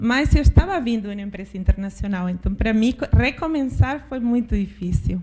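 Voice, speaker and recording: A woman talks at a moderate pace. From Argentina, interior. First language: Spanish (speaking Portuguese). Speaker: finance executive. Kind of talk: panel discussion. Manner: halting, with false starts.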